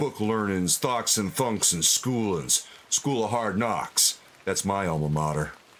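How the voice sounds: Read aloud naturally, the passage carries lively intonation.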